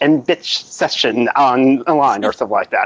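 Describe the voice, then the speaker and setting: A man with an American accent speaks at a moderate pace in an ordinary speaking voice, his fairly high pitch carried by lively intonation, the sound dry and close with no echo. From United States. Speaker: YouTuber. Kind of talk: casual chat.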